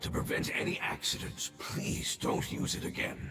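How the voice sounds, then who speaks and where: In a put-on character voice with a solemn tone, a man performs against clear background noise and a slight echo. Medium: video game. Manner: solemn, resigned.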